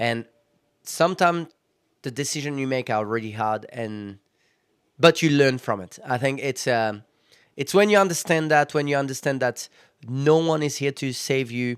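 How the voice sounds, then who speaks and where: A man at medium pitch with a French accent, moderate pace, ordinary pitch variation and long, frequent pauses, on a very clean recording with a silent background. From France. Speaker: podcast host. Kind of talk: motivational podcast monologue. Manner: halting.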